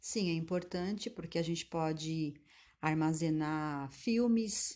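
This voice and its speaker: Over a quiet background, a woman speaks at a very slow pace, her fairly low pitch carrying a dark, mellow tone. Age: 50s. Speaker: manicurist. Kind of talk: interview answers.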